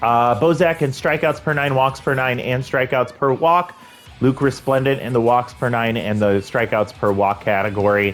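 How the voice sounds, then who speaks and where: A man speaks at a moderate pace with medium pitch and ordinary pitch variation, with music playing in the background. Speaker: video game commentator. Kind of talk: gameplay commentary.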